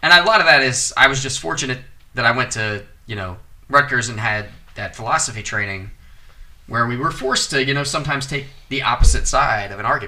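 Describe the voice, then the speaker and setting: Music plays behind a man talking very fast at a medium pitch. His pitch variation is ordinary, and his loudness swings a lot. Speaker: podcast host. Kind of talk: casual chat.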